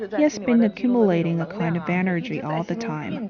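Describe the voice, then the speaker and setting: Against noticeable background noise, a woman with a medium-pitched voice talks at a moderate pace. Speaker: charity co-founder, former engineer. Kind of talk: documentary interview.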